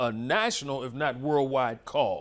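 Against a quiet background, the delivery goes at a fairly slow pace. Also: man. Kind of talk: lecture. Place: hall.

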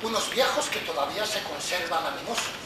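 A man's voice comes with audible room echo and loud noise in the background. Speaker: actor playing an interrogator. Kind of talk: theatrical monologue. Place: stage. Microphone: camera far.

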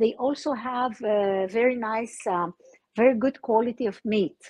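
The speaker is female and talks very slowly. Little sound comes from behind her. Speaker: remote guest. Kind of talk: interview answer. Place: open country. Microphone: video call.

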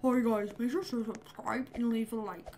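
Doing a put-on character voice, a woman speaks at a fairly high pitch and a moderate pace over clear background noise. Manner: bright, cartoonish.

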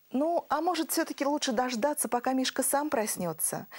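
A woman talks at a fairly quick pace with lively intonation. Her pitch is high.

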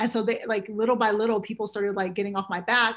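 A woman with an American accent speaks very fast in a fairly high, flat monotone. The background is quiet. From US West Coast, San Francisco Bay Area. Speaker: casting director. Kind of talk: interview. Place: home room. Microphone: webcam.

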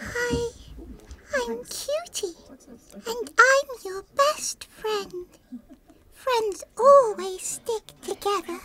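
A woman puts on a character voice at an extremely high pitch. Her pace is very slow, with long, frequent pauses. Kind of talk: video game voice acting. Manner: panicked, pleading.

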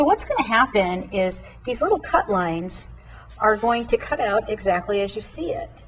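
A woman is speaking. She talks at a moderate pace. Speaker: product demonstrator. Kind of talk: tutorial. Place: studio. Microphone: lapel.

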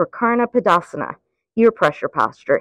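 A woman's fairly high voice at a moderate pace, dry with no echo against a quiet background. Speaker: yoga instructor. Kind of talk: guided yoga class instruction. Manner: steady counted breath cues. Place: garden.

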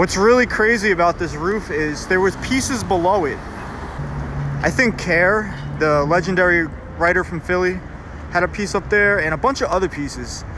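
The speech moves at a moderate pace, the sound is dry with no echo, and background noise is noticeable. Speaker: graffiti tour narrator. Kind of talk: casual vlog chat. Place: street. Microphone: phone near.

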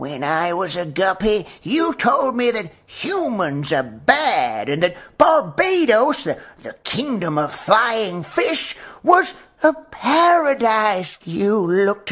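Putting on a character voice, a man speaks very slowly at a high pitch with very wide pitch swings.

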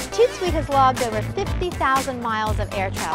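Music is clearly audible behind the voice. A woman is talking very fast. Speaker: pet lifestyle coach and TV host. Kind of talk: pet training and care advice to camera. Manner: clear, friendly, instructive.

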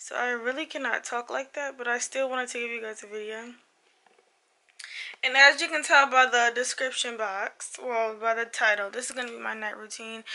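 A woman speaks high in pitch with a bright, sharp, strained tone. Her pace is moderate and her intonation fairly even, with big swings in loudness. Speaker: lifestyle vlogger. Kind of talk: casual vlog intro. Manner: strained, restricted speech.

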